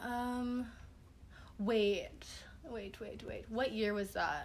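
A woman's fairly high, animated voice with long, frequent pauses and audible room echo. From Hawaii. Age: 20s. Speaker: painter. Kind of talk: interview.

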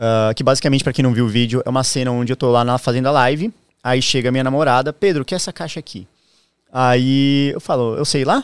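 A man speaks at a very fast pace and a medium pitch with fairly even intonation. The recording is very clean, with a silent background and a dry, close sound with no echo. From southern Brazil, Santa Catarina. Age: 30s. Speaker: streamer. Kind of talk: casual chat.

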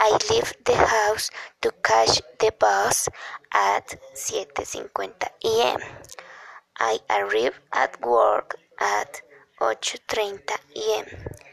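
Very slow and broken by long, frequent pauses, a woman's voice comes through dry and close with no echo. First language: Spanish. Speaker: English learner. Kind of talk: reading aloud. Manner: halting.

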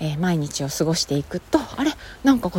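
A woman speaks at a fairly low pitch, somewhat breathy. Her pitch swings very widely. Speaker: podcaster. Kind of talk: casual solo talk.

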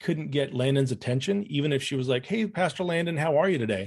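A somewhat breathy man speaks at a fairly quick pace against a quiet background. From Romania. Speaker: former church member. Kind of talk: interview conversation. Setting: video call.

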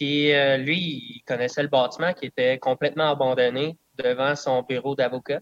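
At a fairly slow pace, a man with a plain, everyday voice speaks at a medium pitch with fairly even intonation, the sound dry and close with no echo. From southern Quebec (Eastern Townships, Bedford area). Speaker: distiller. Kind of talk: casual interview.

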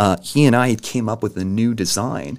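Caught in a very clean recording with a silent background, a man with an American accent speaks with lively intonation and vocal fry. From Indiana, Evansville. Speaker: startup founder. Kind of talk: podcast interview.

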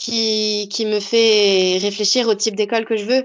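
Very slowly, a woman speaks with a fairly high pitch. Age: 20s. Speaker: teacher. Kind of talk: interview. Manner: halting.

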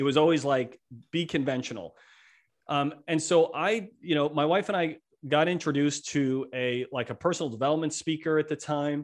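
A man with an unremarkable speaking voice talks at a moderate pace, his pitch fairly high with ordinary variation. The background is quiet. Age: 50s. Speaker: entrepreneur and author. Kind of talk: podcast interview.

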